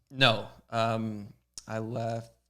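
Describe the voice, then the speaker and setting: With music in the background, a man speaks at a medium pitch in a Canadian accent. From Canada. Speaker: pro BMX rider. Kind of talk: casual chat. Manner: quiet, reserved.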